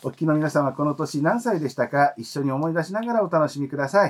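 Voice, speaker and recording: A man's fairly quick delivery with very wide pitch swings. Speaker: podcast host. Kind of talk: scripted show narration; casual chat. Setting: studio.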